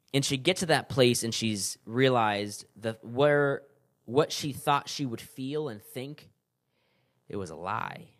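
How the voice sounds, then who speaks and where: A man with an American accent has an unremarkable speaking voice at a medium pitch, with ordinary pitch variation and big swings in loudness. He talks at a fairly slow pace on a very clean recording with a silent background. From California then New York. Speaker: podcast host. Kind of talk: solo podcast talk, book review. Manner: casual, many fillers.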